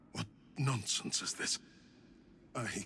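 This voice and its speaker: A man does a put-on character voice, raspy and medium in pitch. Clear background noise is audible. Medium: video game. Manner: commanding, grandiose.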